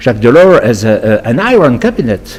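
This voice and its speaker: With a French accent, a man speaks at a moderate pace over noticeable background noise. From France. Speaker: lobbyist. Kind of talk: interview. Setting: studio. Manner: halting, frequent repetitions and fillers.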